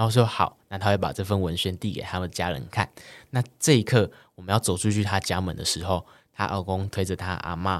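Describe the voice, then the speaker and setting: With a very deep, low voice and mostly level intonation, a man talks rather quickly in a very clean recording with a silent background. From Taiwan, Kaohsiung. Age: young. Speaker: student activist. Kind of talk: interview.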